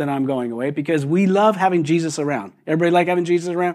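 A man is speaking. His voice is high-pitched. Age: 60s. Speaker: pastor. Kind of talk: sermon. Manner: halting, many repetitions and fillers.

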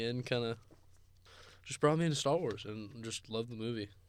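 Medium in pitch, a man's voice moves at a moderate pace. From Gilroy, California. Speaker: podcast co-host, college student athlete. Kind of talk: casual chat.

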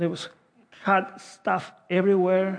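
The speaker has a Spanish accent. The pace is very slow. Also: man. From South America. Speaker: pastor. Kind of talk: sermon. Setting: church.

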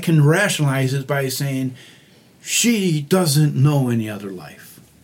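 Over noticeable background noise and audible room echo, a man with a fairly high pitch speaks at a very slow pace with lively intonation. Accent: American. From Michigan, US (Oxford, near Detroit). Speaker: mission volunteer, crew leader. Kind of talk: casual interview. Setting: makeshift podcast booth in a hotel.

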